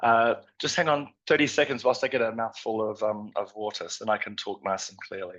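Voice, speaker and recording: A man with an Australian accent, fairly quick pace, big swings in loudness and hardly any pauses. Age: 50s. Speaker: nutrition scientist. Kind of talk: conference presentation. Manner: halting, many fillers.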